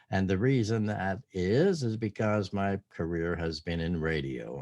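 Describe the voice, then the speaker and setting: Here a man with an American accent speaks at a moderate pace in a dark, mellow tone. The sound is dry and close with no echo, and the background is quiet. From southwestern Pennsylvania. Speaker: retired radio broadcaster. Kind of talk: testimony.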